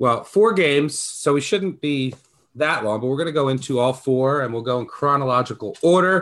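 A man with a plain, everyday voice speaks at a moderate pace, his fairly high pitch rising and falling in an ordinary way. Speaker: podcast host. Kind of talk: casual chat.

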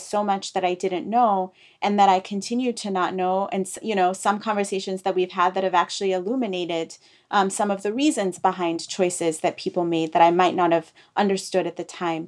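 An ordinary speaking voice, a woman with an American accent speaks fairly quickly at a medium pitch with fairly even intonation. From East Africa and UK, raised internationally. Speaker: author. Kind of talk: interview.

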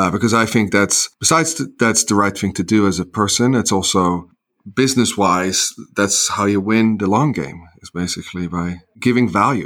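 Ordinary pitch variation and a moderate pace from a normal speaking voice, with a very clean recording and a silent background. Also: man, fairly low pitch for a man. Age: 40s. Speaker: entrepreneur. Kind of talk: casual chat.

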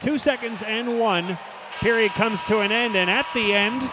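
A man talks fairly quickly, with ordinary pitch variation, while noticeable background noise carries on. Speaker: hockey play-by-play broadcaster. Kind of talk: live hockey play-by-play commentary. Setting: arena broadcast booth. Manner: rapid-fire, clipped calls of names and puck movement; rises to excited goal calls with a laugh.

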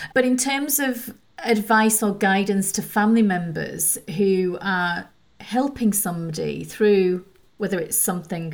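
The speaker has an unremarkable speaking voice with ordinary pitch variation. Delivery comes at a fairly slow pace. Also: woman. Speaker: podcast host. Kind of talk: interview.

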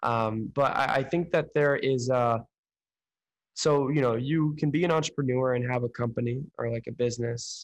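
A man with an American accent speaks at a moderate pace in an unremarkable speaking voice, medium in pitch, with fairly even intonation and a dry, close sound with no echo. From Oakland, California. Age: young. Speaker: podcast host and entrepreneur. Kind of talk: interview.

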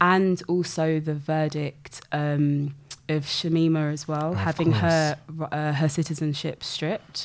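A woman speaks with a British accent at a very deep, low pitch. Her delivery is monotone and flat at a fairly slow pace. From UK, grew up in one city. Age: 30s. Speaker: health researcher. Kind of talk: casual interview conversation.

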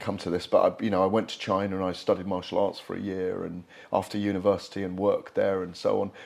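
This man has an ordinary speaking voice, fairly low in pitch, and talks at a moderate pace. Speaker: boxing journalist. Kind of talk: interview.

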